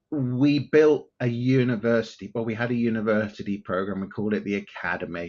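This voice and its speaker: Speaking with an English accent, a man talks at a fairly quick pace with hardly any pauses, his medium pitch showing ordinary pitch variation. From southern England (outside London). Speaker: tech company CEO. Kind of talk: interview.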